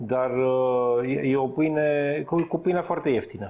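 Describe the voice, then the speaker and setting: A plain, everyday voice at a moderate pace, with ordinary pitch variation. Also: man. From Romania. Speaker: chef; chef co-host. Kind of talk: casual chat. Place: home room. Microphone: lapel.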